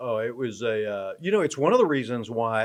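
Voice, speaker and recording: Here a man with an American accent talks at a medium pitch and a moderate pace. It is an unremarkable speaking voice against a quiet background. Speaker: sports play-by-play announcer. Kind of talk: podcast interview answer.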